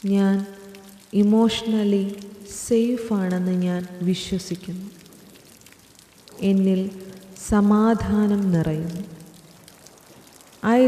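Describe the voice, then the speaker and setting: A soft-spoken woman talks with a medium pitch and fairly even intonation. Audible room echo and noticeable background noise come through. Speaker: affirmation narrator. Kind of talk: guided affirmations.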